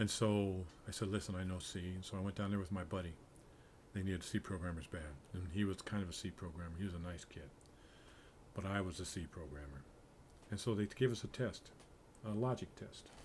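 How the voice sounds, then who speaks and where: A man's very deep, low, somewhat breathy voice at a fairly quick pace, with long, frequent pauses and ordinary pitch variation. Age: 70s. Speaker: programmer streaming game development. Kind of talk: casual livestream talk. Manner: halting, with fillers.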